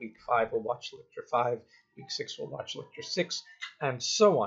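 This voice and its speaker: Against a quiet background, a man speaks at a moderate pace. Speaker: university lecturer. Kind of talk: lecture to students. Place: home room. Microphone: webcam.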